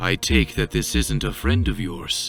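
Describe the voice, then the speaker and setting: A put-on character voice comes through with faint music in the background. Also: man. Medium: machinima. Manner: calm, measured.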